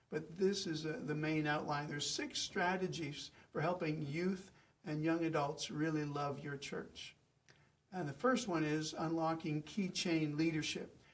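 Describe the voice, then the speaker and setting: A man speaks at a fairly slow pace in a fairly high pitch with ordinary pitch variation. There is audible room echo. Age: 60s. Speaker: pastor. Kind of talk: lecture.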